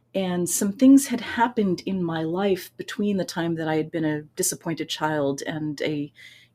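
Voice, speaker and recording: A woman with an American accent talks in a fairly low voice with lively intonation and hardly any pauses. Noticeable background noise can be heard. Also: moderate pace. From United States. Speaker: voice teacher and author. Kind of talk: interview.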